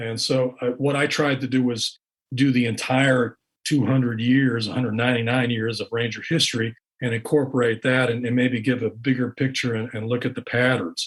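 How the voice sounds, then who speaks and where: A somewhat breathy voice speaks at a moderate pace with monotone, flat intonation. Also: man, medium pitch for a man. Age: 60s. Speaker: author and investigative reporter. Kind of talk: interview. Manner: halting, repeats words.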